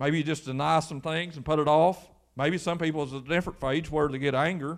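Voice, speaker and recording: Rattling along at a very fast pace, a man with an Appalachian accent uses a fairly high pitch and monotone, flat intonation in a very clean recording with a silent background. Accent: Appalachian Kentucky. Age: 40s. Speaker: pastor. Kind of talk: sermon. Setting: church.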